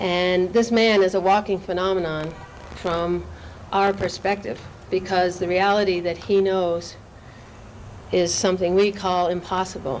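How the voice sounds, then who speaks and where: Noticeable background noise runs behind a woman at a medium pitch. She speaks fairly slowly with long, frequent pauses and a monotone, flat intonation. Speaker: event host introducing a speaker. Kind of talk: spoken introduction to a live audience. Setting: live gathering.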